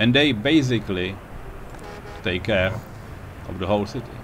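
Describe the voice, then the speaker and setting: Against noticeable background noise, a man with a non-native accent talks with lively intonation. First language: not English. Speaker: video game player. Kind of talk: casual gameplay commentary. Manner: unscripted, hesitant.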